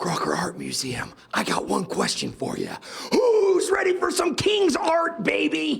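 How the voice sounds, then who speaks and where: In a put-on character voice pitched extremely high, a man talks at a fairly slow pace. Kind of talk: hushed, excited. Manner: whisper scream, excited shout in a hush.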